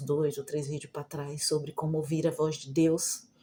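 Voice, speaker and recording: Speaking at a fairly slow pace, a woman has a very deep, low pitch and a somewhat breathy, dark, mellow tone. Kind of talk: casual vlog talk. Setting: at home. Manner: soft-spoken, quieter than usual.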